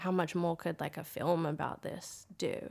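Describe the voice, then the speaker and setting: On a very clean recording with a silent background, a woman with an American accent speaks at a moderate pace in a fairly low pitch. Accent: Australian with a slight American tinge. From Australia, country New South Wales. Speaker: film producer and actor. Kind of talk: casual interview chat.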